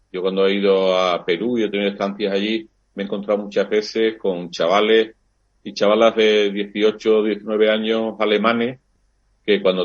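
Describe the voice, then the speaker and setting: Monotone, flat intonation at a moderate pace. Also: man. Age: 60s. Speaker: priest and university lecturer. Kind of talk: interview. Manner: hesitant fillers, reflective.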